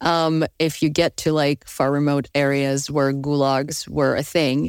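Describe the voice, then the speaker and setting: On a very clean recording with a silent background, a woman speaks with a very deep, low pitch and fairly even intonation. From Ukraine. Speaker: podcast host. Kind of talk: interview conversation. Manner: laughs often.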